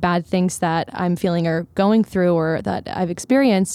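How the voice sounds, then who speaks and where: At a moderate pace, a woman talks in a medium pitch with a dark, mellow tone and ordinary pitch variation. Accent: American. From US Northeast, Philadelphia suburbs. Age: 20s. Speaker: singer-songwriter. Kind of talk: casual chat. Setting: studio.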